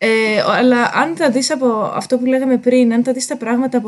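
The speaker is a woman. She keeps a moderate pace. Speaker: linguist. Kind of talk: casual interview chat. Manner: hesitant with fillers.

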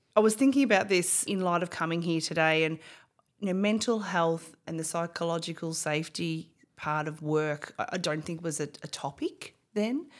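On a very clean recording with a silent background, a woman with an Australian accent talks at a moderate pace in a fairly low pitch with ordinary pitch variation. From Australia, Bendigo (regional Victoria). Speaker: company CEO. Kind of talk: interview.

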